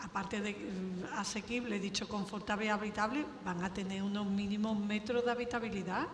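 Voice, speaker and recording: A woman with an Extremaduran accent speaks at a moderate pace and medium pitch, her intonation fairly even, over noticeable background noise with audible room echo. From Extremadura, Spain. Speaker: public program director. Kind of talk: panel discussion.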